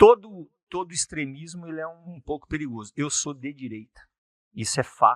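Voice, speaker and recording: A man with a normal speaking voice talks fairly slowly with lively intonation. The sound is dry and close, with no echo. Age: 60s. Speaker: politician, former mayor. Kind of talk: interview.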